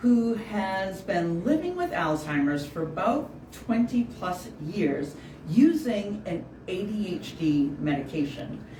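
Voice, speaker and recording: A woman talks at a fairly slow pace in a medium pitch. Noticeable background noise runs under her voice. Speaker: interviewer. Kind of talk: interview host introduction.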